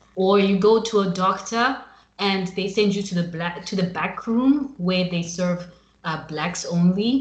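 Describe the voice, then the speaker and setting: A woman's somewhat breathy voice with ordinary pitch variation, in an American accent. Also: medium pitch for a woman. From Zimbabwe. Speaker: podcast host. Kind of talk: casual interview. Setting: remote call.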